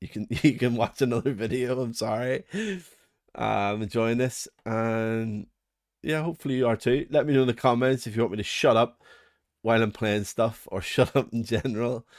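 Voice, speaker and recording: A man speaks at a moderate pace with a Northern Irish accent. His pitch is medium, with ordinary variation. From Northern Ireland. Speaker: music production reviewer. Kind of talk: product review walkthrough. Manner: casual, chatty with fillers.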